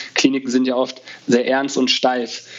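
At a fairly slow pace, a man speaks in a plain, everyday voice with a medium pitch. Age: 30s. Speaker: resident physician and conference founder. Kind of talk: casual interview.

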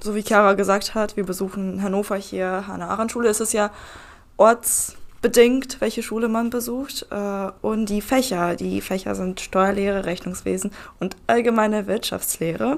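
A woman talks at a moderate pace with fairly even intonation and a medium pitch. It is an ordinary speaking voice. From Lower Saxony, Germany (Nienburg). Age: 20s. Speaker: trainee tax clerk. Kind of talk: casual group chat. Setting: conference room.

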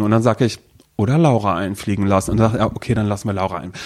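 A man speaks at a very fast pace. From Mecklenburg-Vorpommern, rural village (born in North Rhine-Westphalia). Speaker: podcast co-host. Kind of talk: casual chat.

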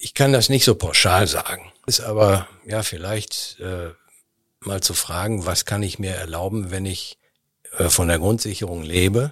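A man speaks at a fairly slow pace in a very deep, low voice with ordinary pitch variation, on a very clean recording with a silent background. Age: 60s. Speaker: charity association chairman. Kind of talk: interview. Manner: hesitant, frequent fillers.

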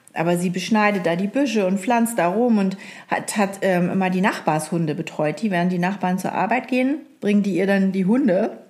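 A woman's plain, everyday voice at medium pitch, fairly quick, with very even loudness and ordinary pitch variation. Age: 40s. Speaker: podcast co-host. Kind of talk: casual chat.

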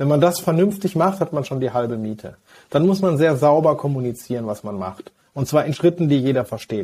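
A man's dark, mellow tone, fairly high in pitch, at a moderate pace. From Westphalia, Germany (Hagen). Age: 40s. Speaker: physician and health-tech executive. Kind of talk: interview.

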